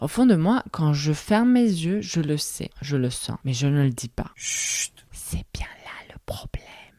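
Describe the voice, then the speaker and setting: With hardly any pauses, a woman speaks very slowly at a very deep, low pitch. Her pitch swings very widely amid noticeable background noise. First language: not French (speaking French). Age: 30s. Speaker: podcast host. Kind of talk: solo reflective podcast monologue.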